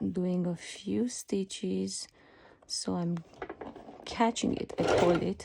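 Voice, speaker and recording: A woman speaks with a non-native accent. Her pace is very slow. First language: not English. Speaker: sewing pattern designer. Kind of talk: tutorial. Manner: hesitant, many fillers.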